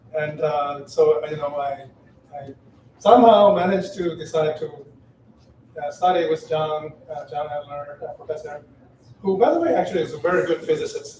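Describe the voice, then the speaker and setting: Over noticeable background noise, a man with a Chinese accent speaks at a moderate pace in a fairly high pitch, his intonation fairly even. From China. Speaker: former graduate student, eulogy speaker. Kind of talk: unprepared memorial speech. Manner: halting, hesitant.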